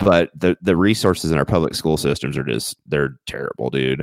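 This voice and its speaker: With an American accent and vocal fry, this voice moves at a moderate pace with lively intonation in a dry, close sound with no echo. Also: man. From Missouri, small town. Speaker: podcast co-host. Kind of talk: casual chat. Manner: halting, many repeated words.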